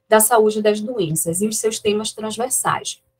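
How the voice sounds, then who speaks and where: Speaking at a moderate pace, a woman uses a normal speaking voice with a fairly high pitch. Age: 40s. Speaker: historian, research group coordinator. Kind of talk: academic seminar introduction. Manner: formal.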